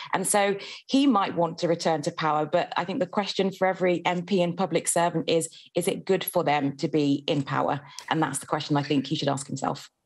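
Against a quiet background, a woman with a British accent speaks at a fairly quick pace and very even loudness. Her pitch is fairly low, with ordinary pitch variation. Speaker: journalist; journalist, newspaper reviewer. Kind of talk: newspaper review. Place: home room. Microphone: video call.

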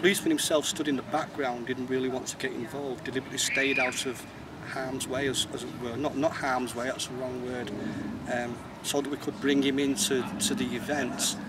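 Over loud background noise, this man keeps a fairly quick pace. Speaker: interviewee. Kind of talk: interview answer. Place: street.

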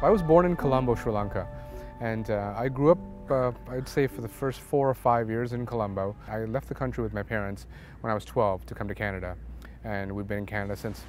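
Music plays in the background as a man speaks at a fairly quick pace. His fairly low voice has ordinary pitch variation and a dry sound with no echo. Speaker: interviewee. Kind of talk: interview answer. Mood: calm, reflective. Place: waterside. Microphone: lapel.

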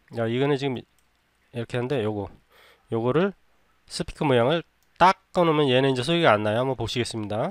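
Speaking at a very fast pace with long, frequent pauses, a man with a medium pitch and ordinary pitch variation comes through in a dry, close sound with no echo. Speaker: video editing tutor. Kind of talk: tutorial. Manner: unscripted, conversational.

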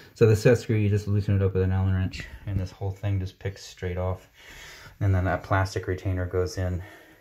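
This man speaks at a fairly quick pace in a very deep, low voice that is somewhat breathy and delivered in a flat monotone. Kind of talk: explanation to a customer. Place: bathroom. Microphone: phone near.

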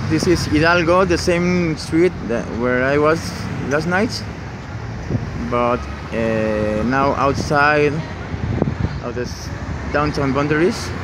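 Very slow speech with long, frequent pauses, dry with no echo, over loud background noise. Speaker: local walking guide. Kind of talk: casual vlog tour commentary. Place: street. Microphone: phone near.

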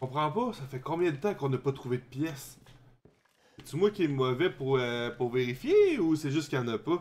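His pitch is fairly high, with ordinary variation. The man speaks at a moderate pace. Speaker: gaming streamer. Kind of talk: let's play commentary. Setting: live stream.

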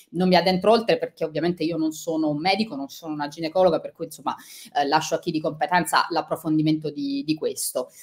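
Spoken at a very fast pace with fairly even intonation, this voice comes over a quiet background. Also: woman, fairly low pitch for a woman. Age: 40s. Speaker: author and journalist; journalist. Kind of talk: interview. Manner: halting. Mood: sincere, personal, reflective. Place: home room.

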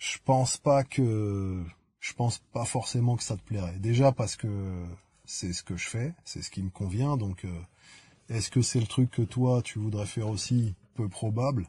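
Against a quiet background, a man speaks with a medium pitch and a dark, mellow tone, somewhat breathy, in a dry, close sound with no echo. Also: ordinary pitch variation, fairly slow pace. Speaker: YouTuber answering viewer comments. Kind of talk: casual comment-reading vlog. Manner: slow; hesitant, many fillers.

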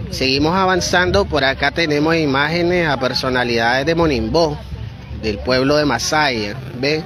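A man with a fairly high pitch keeps very even loudness and ordinary pitch variation over noticeable background noise. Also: moderate pace, dry sound with no echo. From Nicaragua. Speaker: religious media reporter. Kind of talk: live field reporting. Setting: outdoors. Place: open country. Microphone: phone near.

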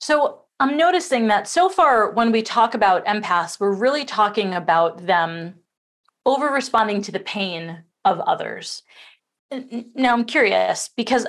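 Lively intonation marks a woman's fairly high-pitched voice at a moderate pace. The background is quiet. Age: 40s. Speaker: summit interviewer. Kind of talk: interview. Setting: video call. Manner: animated. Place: home room.

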